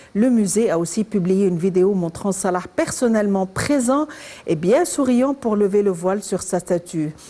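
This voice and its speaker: A woman's medium-pitched voice, fairly slow, with lively intonation over noticeable background noise. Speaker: TV host. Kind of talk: TV interview.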